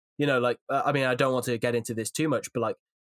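A man speaks with a Welsh accent in a monotone, flat intonation. The sound is dry and close, with no echo. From Wales. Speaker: rugby YouTuber and pundit. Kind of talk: casual podcast discussion.

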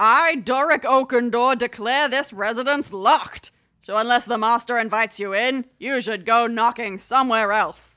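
A woman bellows in a gruff, put-on character voice pitched high, at a moderate pace. The recording is very clean, with a silent background. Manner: bellowing, stern.

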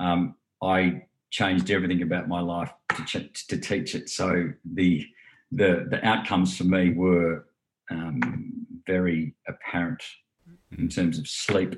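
With music in the background, a man with an Australian accent and a very deep, low pitch speaks at a fairly slow pace with ordinary pitch variation and long, frequent pauses. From Australia, New South Wales Southern Highlands. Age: 40s. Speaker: meditation teacher. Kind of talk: interview. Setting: video call.

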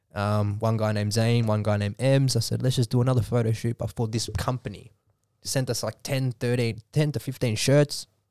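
In a very clean recording with a silent background and a dry, close sound with no echo, a man with an Australian accent speaks at a fairly quick pace, his medium-pitched, dark, mellow tone following fairly even intonation. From Australia, Melbourne western suburbs. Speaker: model and entrepreneur. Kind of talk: podcast interview.

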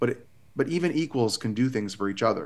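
A man talks with an ordinary speaking voice. His intonation is lively and his pace moderate. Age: 30s. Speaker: therapist. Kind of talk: casual chat.

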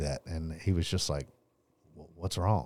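A man with an East Texas accent and ordinary pitch variation, in a dry, close sound with no echo on a very clean recording with a silent background. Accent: East Texas Southern US. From Texas, Longview (East Texas). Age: 30s. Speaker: painting business owner. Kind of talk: testimony.

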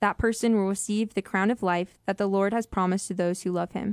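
This is an ordinary speaking voice at a moderate pace. The sound is dry and close, with no echo. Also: woman. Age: 20s. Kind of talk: Bible study discussion, scripture reading. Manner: casual, uses 'like'.

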